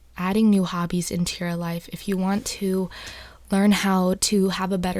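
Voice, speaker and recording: Soft-spoken, a woman of medium pitch talks at a moderate pace with monotone, flat intonation. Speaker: ASMR content creator. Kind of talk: casual talk to camera, advice discussion.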